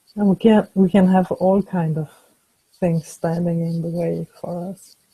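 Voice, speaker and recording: Speaking with a non-native accent, a woman uses a dark, mellow, somewhat breathy tone and monotone, flat intonation, her loudness swinging widely in a dry, close recording with no echo. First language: not English. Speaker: webinar co-host. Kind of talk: webinar discussion. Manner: slow; halting.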